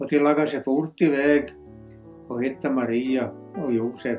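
Over music in the background, a man with an Ostrobothnian accent speaks fairly slowly with ordinary pitch variation. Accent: Ostrobothnian Swedish dialect. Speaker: reader. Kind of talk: Bible reading in dialect.

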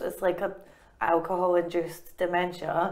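A woman speaks with a Scottish accent. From Scotland. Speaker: comedian and author. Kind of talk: interview answer. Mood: wry, humorous storytelling. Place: studio.

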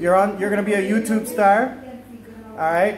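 A man talks with a high pitch. Noticeable background noise runs under his voice. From Canada. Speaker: YouTuber, retiree. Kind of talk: casual interview questions. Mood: warm, friendly. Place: home room. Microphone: phone near.

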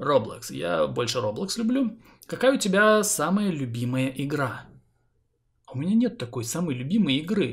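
Long, frequent pauses break up a man's moderate-paced, somewhat breathy speech, his fairly high pitch moving in very wide swings. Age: 30s. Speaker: gaming YouTuber. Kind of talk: Q&A vlog to viewers.

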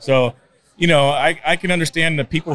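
A man talks at a fairly quick pace with ordinary pitch variation. There is light background noise, and the sound is dry with no echo. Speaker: street preacher, conservative activist; podcast guest, street preacher. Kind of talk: interview answer. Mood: earnest, reflective. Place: studio. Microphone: studio mic.

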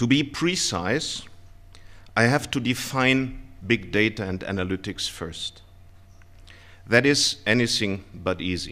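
A man speaks at a fairly slow pace in a bright, sharp tone, with ordinary pitch variation. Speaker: conference speaker. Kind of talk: lecture. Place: hall. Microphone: podium.

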